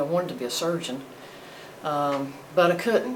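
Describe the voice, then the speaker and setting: A woman with a North Carolina accent talks at a fairly quick pace in a very deep, low pitch, with noticeable background noise and audible room echo. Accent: Southern US (North Carolina). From US South, North Carolina (Greensboro). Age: 60s. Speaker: retired firefighter. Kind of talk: oral history interview.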